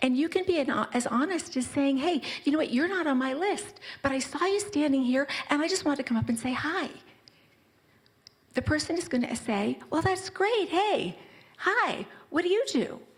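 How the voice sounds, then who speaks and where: A soft-spoken woman talks at a high pitch and a moderate pace, animated in tone, with very wide pitch swings. Her loudness stays very even, and she leaves long, frequent pauses. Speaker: personal brand consultant. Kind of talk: conference talk. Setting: stage with audience.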